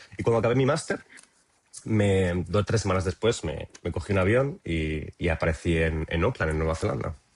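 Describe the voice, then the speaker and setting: A man with a very deep, low pitch speaks at a moderate pace. His voice is somewhat breathy, with lively intonation. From Spain, Cuenca province (Castilla-La Mancha). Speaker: traveller interviewee. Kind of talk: podcast interview. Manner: halting, many fillers and repetitions.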